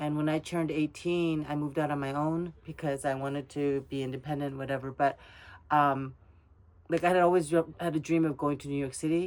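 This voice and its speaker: At a moderate pace and with ordinary pitch variation, a woman speaks with a Korean accent in a very clean recording with a silent background. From South Korea, raised in US from age ten. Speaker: Korean adoptee interviewee. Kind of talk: personal interview. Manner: casual, hesitant with fillers and restarts.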